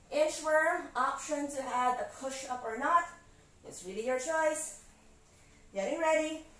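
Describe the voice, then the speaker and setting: Room echo is audible around a woman. She speaks at a very slow pace. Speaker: fitness instructor. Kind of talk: live workout coaching cues, counting through interval reps. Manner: brisk, encouraging commands with short clipped instructions; calm, reassuring reminders to slow down and modify. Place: home room.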